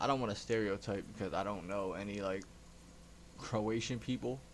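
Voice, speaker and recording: With vocal fry and a fairly low pitch, a man talks at a moderate pace with ordinary pitch variation in audible room echo. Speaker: reaction youtuber. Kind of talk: casual chat. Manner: loud.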